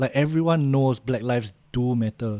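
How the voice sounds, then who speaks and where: A man with a Singaporean accent, medium pitch and a dark, mellow tone, at a moderate pace with ordinary pitch variation. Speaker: podcast co-host. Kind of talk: casual chat.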